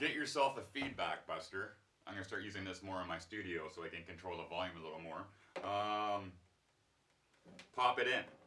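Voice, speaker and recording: A man with a very deep, low pitch and a bright, sharp tone talks at a fairly quick pace with ordinary pitch variation, leaving long, frequent pauses. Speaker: guitar teacher. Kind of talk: tutorial. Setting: home studio. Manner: fast.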